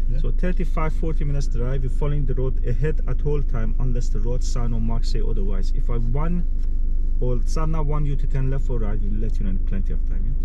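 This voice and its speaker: A man at a fairly quick pace with very even loudness, a dry sound with no echo and noticeable background noise. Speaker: driving instructor. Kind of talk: instructions to a learner driver. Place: car. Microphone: camera far.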